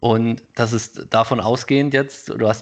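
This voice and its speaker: Male speaker, medium-pitched, a normal speaking voice and fairly even intonation. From Thuringia, eastern Germany. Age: 30s. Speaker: podcast co-host. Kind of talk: casual conversation.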